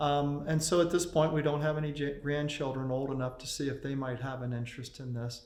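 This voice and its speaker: Speaking in a flat monotone at a fairly quick pace, a man with a medium-pitched voice is heard with audible room echo. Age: 60s. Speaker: ship model carver. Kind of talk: documentary interview.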